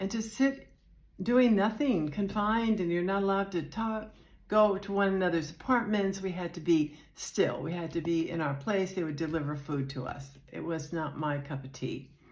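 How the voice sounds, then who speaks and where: With audible room echo, a woman talks in a fairly low pitch. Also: lively intonation, moderate pace. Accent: American. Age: 70s. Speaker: retiree vlogger. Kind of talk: casual personal vlog. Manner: hesitant, unpolished.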